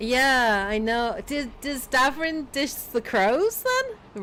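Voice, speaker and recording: Her British accent carries a bright, sharp tone and lively intonation. This woman speaks at a high pitch and a very slow pace. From Britain. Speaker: gaming streamer. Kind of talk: casual live stream commentary. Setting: livestream.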